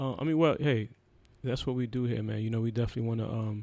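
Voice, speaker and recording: A man with a New York accent talks at a very fast pace, his intonation fairly even. His tone is dark and mellow, and somewhat breathy. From Brooklyn, New York (Haitian family). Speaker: podcast host. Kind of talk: casual chat. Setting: studio.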